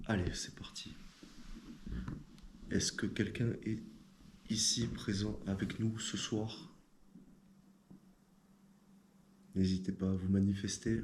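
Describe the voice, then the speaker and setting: There is audible room echo as a man with a fairly low pitch speaks very slowly in a somewhat breathy, monotone, flat way, with long, frequent pauses. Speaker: paranormal investigator. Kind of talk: casual explanation to camera; voice-over narration. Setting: inside a castle at night.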